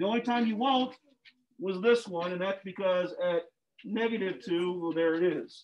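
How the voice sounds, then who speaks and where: A man's speech has ordinary pitch variation and a moderate pace. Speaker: middle school math teacher. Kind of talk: classroom lesson. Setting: classroom, recorded video with remote students. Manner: instructional, stern at times.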